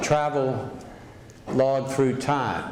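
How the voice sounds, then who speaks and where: A man's fairly high-pitched voice with an American accent and monotone, flat intonation over noticeable background noise. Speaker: former governor. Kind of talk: event introduction.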